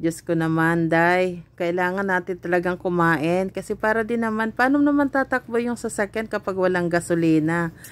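Keeping a very even loudness, a woman at a medium pitch speaks at a moderate pace with ordinary pitch variation and hardly any pauses, in a dry sound with no echo. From Philippines. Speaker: cooking vlogger; home cooking vlogger. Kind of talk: casual vlog chat. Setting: shopping trip, on the way home. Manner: hesitant, many fillers. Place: shop. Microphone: phone near.

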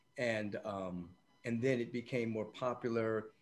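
A man talks with fairly even intonation. Music plays in the background. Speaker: podcast guest, spiritual teacher. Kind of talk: interview answer. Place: home room. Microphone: video call.

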